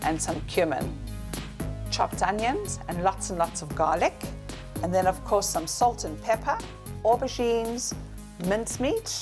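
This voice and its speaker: Music fills the background as a woman talks at a moderate speed. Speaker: celebrity chef and TV presenter. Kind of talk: cooking demonstration to camera. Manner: cheerful, friendly, chatty.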